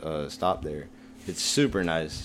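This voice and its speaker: With an American accent, a man speaks at a moderate pace with fairly even intonation. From New Jersey. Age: 20s. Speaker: podcast guest. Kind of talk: casual chat.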